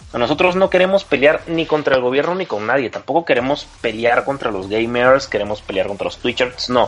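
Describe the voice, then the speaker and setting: A man's medium-pitched voice with lively intonation, moving at a fairly quick pace with hardly any pauses over noticeable background noise. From Peru. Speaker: video game lawyer. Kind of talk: panel discussion.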